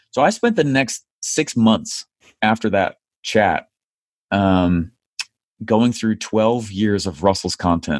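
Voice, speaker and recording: Over a quiet background, a man with an American accent talks at a very slow pace in a fairly low voice, with ordinary pitch variation and long, frequent pauses. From United States. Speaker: online marketing entrepreneur. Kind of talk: interview.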